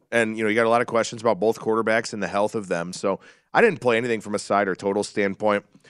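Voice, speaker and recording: The sound is dry and close, with no echo. This man's recording is very clean, its background silent. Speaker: sports betting analyst. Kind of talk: casual chat.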